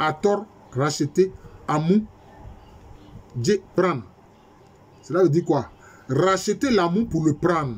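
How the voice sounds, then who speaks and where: A man's high-pitched voice at a very slow pace, with lively intonation, very even loudness and long, frequent pauses. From Ivory Coast. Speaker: history professor. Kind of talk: lecture. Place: home room. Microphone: webcam.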